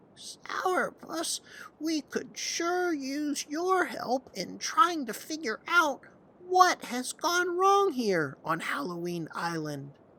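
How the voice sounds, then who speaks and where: The voice is a put-on character voice pitched high. Its pace is very slow. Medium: read story. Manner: gentle, kindly.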